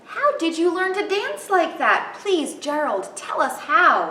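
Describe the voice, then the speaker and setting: A woman puts on a squeaky character voice at an extremely high pitch. She speaks at a fairly slow pace, with a slight echo. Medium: read story.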